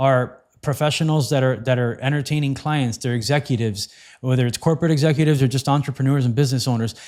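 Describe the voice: Speaking fast with a slightly mellow tone, a man is heard in a very clean recording with a silent background.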